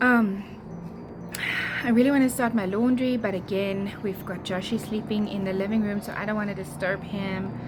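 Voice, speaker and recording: Soft-spoken and medium-pitched, a woman talks at a moderate pace with fairly even intonation, amid noticeable background noise and audible room echo. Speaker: lifestyle vlogger. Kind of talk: casual vlog chat. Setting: outdoors on a balcony.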